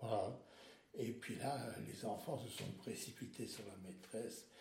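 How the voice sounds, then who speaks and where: Very slow speech over noticeable background noise. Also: man. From Alsace, France. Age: 70s. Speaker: retiree sharing life story. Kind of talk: interview, life story. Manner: halting, with many repetitions.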